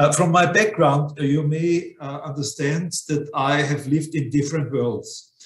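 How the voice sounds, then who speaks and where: Room echo can be heard on this clip. The man's pitch varies in an ordinary way. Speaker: remote guest. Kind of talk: conference talk. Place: home room. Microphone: video call.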